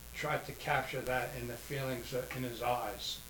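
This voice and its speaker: Speaking at a fairly high pitch, a man has an American accent. Audible room echo and noticeable background noise fill the recording. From New Jersey, Jersey City. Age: 70s. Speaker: artist and martial arts instructor, retired postmaster. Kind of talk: casual interview. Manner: halting, frequent fillers.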